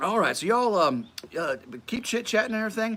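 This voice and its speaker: A man's raised, projected voice in a Tennessee accent, with noticeable background noise. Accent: US Southern (Tennessee). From West Tennessee, near Memphis. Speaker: Bible study teacher and livestream host. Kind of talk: casual livestream chat. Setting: live stream at home. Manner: halting, many fillers and repeats.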